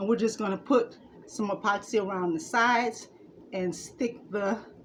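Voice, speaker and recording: Over noticeable background noise, a woman with fairly high pitch speaks at a fairly slow pace with ordinary pitch variation. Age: 60s. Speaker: DIY crafter. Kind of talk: tutorial.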